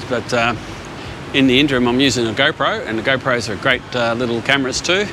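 A man speaks at a fairly quick pace. The sound is dry with no echo, but noticeable background noise comes through. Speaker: photography vlogger. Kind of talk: casual vlog chat. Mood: cheerful, relaxed. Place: street. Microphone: phone near.

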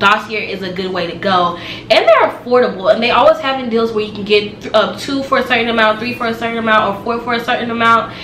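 With light background noise and audible room echo, the voice shows ordinary pitch variation. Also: woman. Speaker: beauty vlogger. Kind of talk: casual product review. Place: home room. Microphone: camera far.

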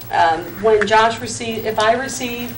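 A woman with an American accent talks amid noticeable background noise and audible room echo. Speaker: city economic development director. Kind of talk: public meeting report. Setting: city council meeting. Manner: quiet.

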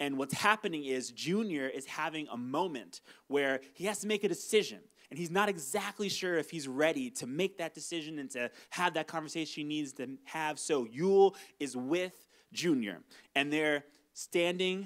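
A man speaks at a moderate pace, his pitch fairly high and his intonation lively, with a quiet background behind him. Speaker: pastor. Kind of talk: sermon. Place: stage. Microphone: handheld.

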